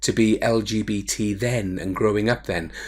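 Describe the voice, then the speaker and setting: A man is speaking. He has a Welsh accent. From Wales, Cardiff. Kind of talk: personal testimony. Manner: hesitant, with fillers.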